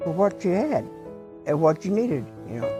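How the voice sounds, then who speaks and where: Music can be heard behind the speaker. She is a woman with an American accent. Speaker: grandmother recalling the Great Depression. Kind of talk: interview answer. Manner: hesitant, repetitive.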